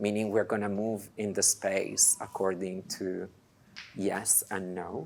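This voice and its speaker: A man with an Italian accent, fairly low in pitch, at a fairly slow pace, on a very clean recording with a silent background. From Italy. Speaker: dance programmer. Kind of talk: lecture. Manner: halting.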